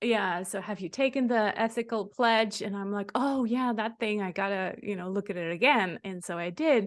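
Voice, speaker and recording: A woman with a Swiss German accent speaks at a moderate pace and medium pitch, with hardly any pauses, against a quiet background. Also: ordinary pitch variation. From German-speaking Switzerland. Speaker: podcast host. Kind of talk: interview.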